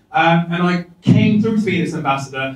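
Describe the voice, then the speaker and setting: Audible room echo surrounds a man talking at a fairly quick pace. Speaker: keynote guest. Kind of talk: keynote talk to audience. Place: hall.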